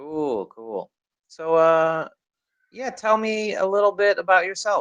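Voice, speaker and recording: Talking at a very slow pace, a man with an American accent speaks at a high pitch. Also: lively intonation. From US, Chicago. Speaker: online English tutor. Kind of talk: casual conversation practice.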